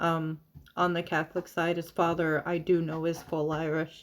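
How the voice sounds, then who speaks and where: A speaker with an American accent talks at a moderate pace on a very clean recording with a silent background. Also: woman. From US South (Florida, Georgia, Alabama). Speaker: witchcraft streamer. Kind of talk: casual chat. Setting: live stream.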